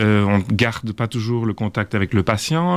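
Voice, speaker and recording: A man with an unremarkable speaking voice, fairly low in pitch, at a fairly slow pace. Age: 50s. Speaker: orthopedic surgeon. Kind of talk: interview.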